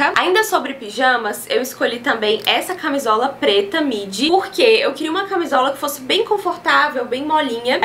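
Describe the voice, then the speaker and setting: With light background noise, a woman talks at a moderate pace in a high voice with very wide pitch swings. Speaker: fashion vlogger. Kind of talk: casual haul vlog chat. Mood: cheerful, enthusiastic. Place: home room.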